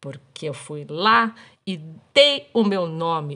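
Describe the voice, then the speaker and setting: The woman's pitch is very deep and low, with ordinary variation. Her tone is animated against a quiet background. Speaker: podcast host. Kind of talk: casual storytelling monologue.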